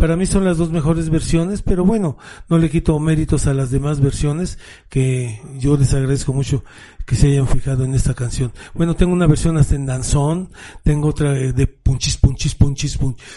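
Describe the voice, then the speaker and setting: At a moderate pace with ordinary pitch variation, the voice sounds somewhat breathy, its tone dark and mellow. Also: man, fairly high pitch for a man. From Mexico City. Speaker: rock drummer. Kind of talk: interview.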